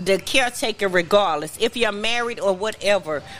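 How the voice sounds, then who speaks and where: A woman talks with lively intonation. Noticeable background noise can be heard behind her. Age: 40s. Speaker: podcast co-host. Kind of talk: casual chat. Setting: restaurant bar.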